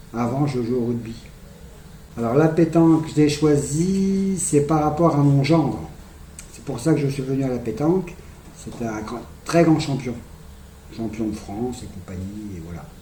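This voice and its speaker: A man speaks fairly slowly in a fairly high pitch, with lively intonation, big swings in loudness, and long, frequent pauses. Audible room echo and noticeable background noise are present. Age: 60s. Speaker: petanque referee and youth coach. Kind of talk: interview. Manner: halting.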